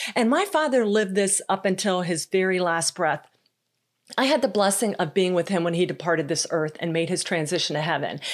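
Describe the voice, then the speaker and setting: A woman speaks at a medium pitch and a fairly quick pace, with lively intonation and an animated tone. Her loudness stays very even on a very clean recording with a silent background. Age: 50s. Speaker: podcast host and leadership coach. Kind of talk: solo podcast monologue.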